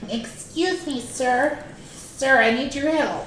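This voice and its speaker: In a put-on character voice that sounds female, the speaker uses a high pitch at a fairly slow pace, with slight echo. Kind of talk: customer asking for help.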